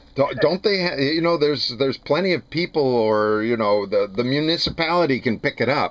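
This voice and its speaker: With an ordinary speaking voice, a man talks at a fairly quick pace and fairly high pitch, using lively intonation, very even loudness and hardly any pauses. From New Jersey. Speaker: interviewer, former student. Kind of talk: casual interview.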